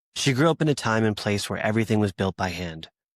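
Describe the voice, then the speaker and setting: A man has a plain, everyday voice, fairly low in pitch with ordinary pitch variation. He talks at a fairly quick pace, and the sound is dry and close with no echo. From US. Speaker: podcast host. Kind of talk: scripted introduction.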